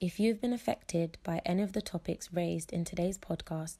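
A woman speaks in a British accent. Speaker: podcast host. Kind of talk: casual interview.

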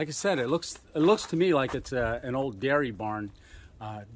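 Noticeable background noise sits under this recording. A man talks at a moderate pace with lively intonation. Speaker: explorer vlogger. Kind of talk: casual vlog chat. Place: open country. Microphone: phone near.

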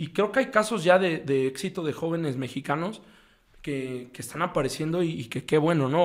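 A man speaks at a moderate pace with a fairly high pitch and ordinary pitch variation. The background is quiet. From Mexico. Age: 30s. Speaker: football coach. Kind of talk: casual interview. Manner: halting, frequent repetitions. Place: studio. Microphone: studio mic.

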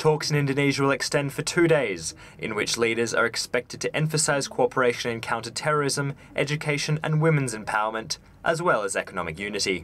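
A very fast man's voice at a fairly high pitch, with lively intonation and noticeable background noise. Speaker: news reporter. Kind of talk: scripted news report voiceover. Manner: formal, steady.

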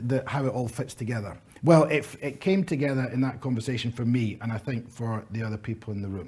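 A man talks at a fairly quick pace in a dark, mellow, somewhat breathy tone with lively intonation. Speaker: conference presenter. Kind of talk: conference speech. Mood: warm, lightly humorous. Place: hall.

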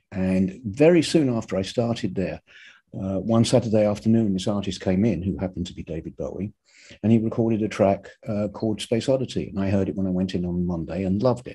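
The speaker has a dark, mellow tone and an English accent, talking at a very fast pace with ordinary pitch variation. The background is quiet. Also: man, fairly low pitch for a man. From England. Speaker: record producer; guest. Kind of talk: casual chat. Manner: halting. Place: home room. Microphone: video call.

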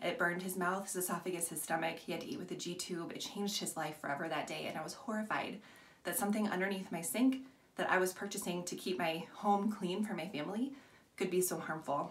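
Her pitch shows ordinary variation as a woman talks at a very fast pace. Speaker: product seller. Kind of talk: tutorial. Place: bathroom. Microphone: phone near.

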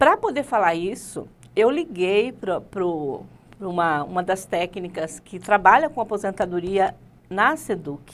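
A woman talks at a fairly slow pace with lively intonation. She leaves long, frequent pauses. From Rondônia, Brazil (moved from Paraná as a child); Rondônia, Brazil. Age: 50s. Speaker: teacher and political candidate; teacher interview guest. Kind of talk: interview. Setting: studio. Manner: halting. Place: studio.

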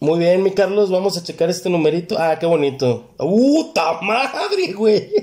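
A man with a Mexican accent talks at a fairly slow pace in a high pitch, with hardly any pauses. His tone is animated and his intonation lively, with very even loudness. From Mexico. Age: 30s. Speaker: numerology reader, podcast guest. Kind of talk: casual chat. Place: studio. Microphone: handheld.

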